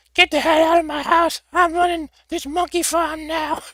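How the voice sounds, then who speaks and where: Using a put-on character voice, a man speaks in an extremely high pitch at a moderate pace with monotone, flat intonation. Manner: angry, mean.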